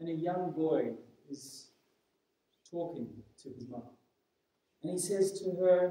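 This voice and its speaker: A man speaks at a high pitch with audible room echo around him. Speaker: preacher. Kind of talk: sermon. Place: church.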